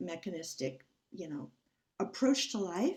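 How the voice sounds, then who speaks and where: Her pitch swings very widely. This woman's voice is somewhat breathy. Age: 70s. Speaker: audience member asking a question. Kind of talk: group video call Q&A. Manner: halting.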